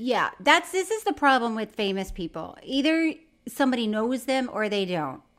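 Her high-pitched voice, with an American accent, makes very wide pitch swings. The woman is captured in a very clean recording with a silent background. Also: moderate pace. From Florida. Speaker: podcast co-host. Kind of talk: casual chat.

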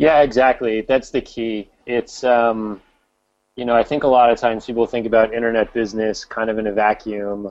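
Here is a man with an ordinary speaking voice at a medium pitch. His pace is moderate and his intonation fairly even. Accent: American. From US Northeast, New York area. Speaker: e-commerce company co-founder. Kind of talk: interview.

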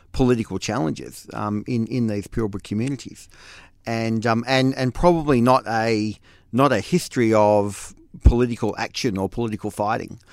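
A man with a medium pitch speaks in an Australian accent on a very clean recording with a silent background. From Western Australia wheat belt. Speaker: former state politician. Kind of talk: casual interview chat.

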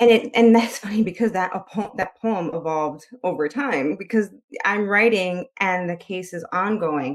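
Speaking with an American accent, a woman uses a medium pitch and ordinary pitch variation at a moderate pace. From US Midwest, Chicago. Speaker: author and poet. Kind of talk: interview.

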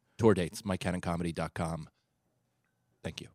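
A man with an American accent speaks in a very deep, low pitch with monotone, flat intonation. The recording is very clean and silent in the background, with a dry, close sound and no echo. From New York area. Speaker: comedian. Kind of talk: casual chat.

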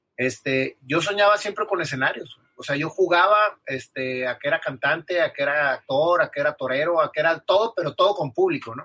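A man speaks in a plain, everyday voice, fairly high-pitched, with ordinary pitch variation and a fairly quick pace that leaves hardly any pauses. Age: 40s. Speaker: businessman and musician. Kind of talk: interview. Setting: live podcast recording.

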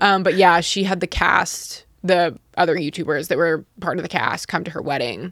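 Speaking with an American accent, a woman uses a fairly low pitch, ordinary pitch variation and a moderate pace with hardly any pauses. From Utah. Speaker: YouTuber. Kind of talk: casual chat. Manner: blunt, understated delivery.

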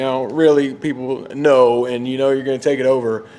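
Noticeable background noise sits behind a man speaking. He goes at a fairly quick pace, medium in pitch. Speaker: sports podcast co-host. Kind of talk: casual chat. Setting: outdoors.

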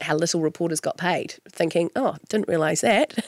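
A woman with a New Zealand accent speaks at a moderate pace in a fairly low voice, the sound dry and close with no echo. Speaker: radio host. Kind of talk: interview.

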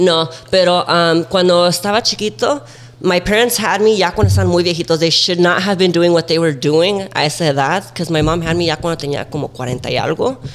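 The speaker talks at a very fast pace with ordinary pitch variation. Noticeable background noise runs under the voice. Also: man, high pitch for a man. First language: Spanish. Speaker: TikTok creator. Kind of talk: casual chat.

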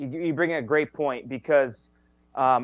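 In a plain, everyday voice, a man speaks at a medium pitch and a moderate pace. His intonation is fairly even. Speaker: sports reporter. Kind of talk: casual sports talk interview.

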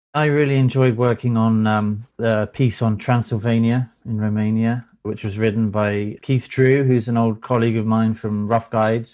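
This speaker, with a British accent, keeps a monotone, flat intonation at a moderate pace in a very clean recording with a silent background. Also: man. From Britain. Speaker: magazine editor. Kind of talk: casual chat.

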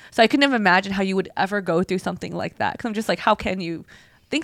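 A woman speaks at a very fast pace. Her pitch sits in the medium range. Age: 30s. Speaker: podcast co-host. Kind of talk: casual chat.

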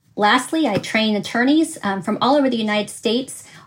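Ordinary pitch variation in a woman's somewhat breathy voice, pitched fairly high. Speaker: attorney, bankruptcy trainer and mediator. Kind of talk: short advice and introduction.

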